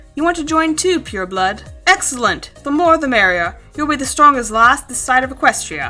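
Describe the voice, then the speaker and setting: With faint music in the background, a woman does a booming put-on character voice at a fairly quick pace, her loudness swinging widely. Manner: hearty, encouraging.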